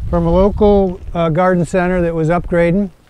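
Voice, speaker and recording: A man at a moderate pace, high-pitched for a man, in a dry sound with no echo. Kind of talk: casual tour commentary. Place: open country.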